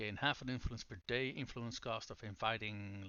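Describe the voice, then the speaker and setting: A man with a non-native accent speaks at a moderate pace and a medium pitch. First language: not English. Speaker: video game streamer. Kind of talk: live gameplay stream commentary. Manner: casual, hesitant with fillers.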